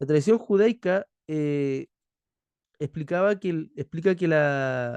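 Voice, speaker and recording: A man talks very slowly, stopping often and for long stretches. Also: ordinary pitch variation. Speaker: theology teacher. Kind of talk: lecture. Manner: halting.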